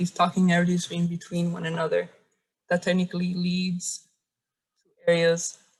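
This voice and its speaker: Somewhat breathy and fairly low, a woman's voice holds a flat, monotone intonation. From Cuba, raised in Miami. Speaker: visual artist. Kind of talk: artist talk presentation. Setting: video call. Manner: halting, with stutters.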